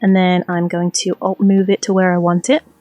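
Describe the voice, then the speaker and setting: Music plays in the background as a woman speaks at a medium pitch, her sound dry and close with no echo. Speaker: gaming tutorial creator. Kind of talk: tutorial. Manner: monotone when concentrating.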